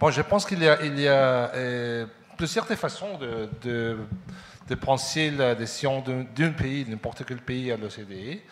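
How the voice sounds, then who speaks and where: At a very slow pace with long, frequent pauses, a man talks at a medium pitch with ordinary pitch variation and big swings in loudness. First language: Spanish (speaking French). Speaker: ambassador. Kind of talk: panel discussion. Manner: halting.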